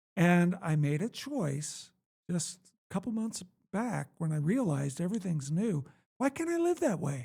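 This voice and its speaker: Lively in intonation, a man with a high-pitched, dark, mellow voice speaks at a moderate pace. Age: 60s. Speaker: author. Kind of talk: interview.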